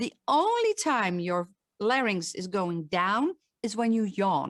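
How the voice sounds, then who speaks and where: A woman talks with a Dutch accent. The sound is dry and close, with no echo. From Netherlands, Limburg. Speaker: voice coach. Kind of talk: online talk with Q&A.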